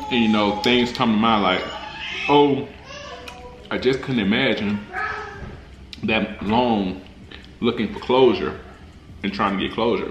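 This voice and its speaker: Over light background noise with audible room echo, a man with a fairly low pitch speaks at a fairly slow pace. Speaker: food vlogger. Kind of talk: casual vlog chat. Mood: reverent during prayer. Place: home room.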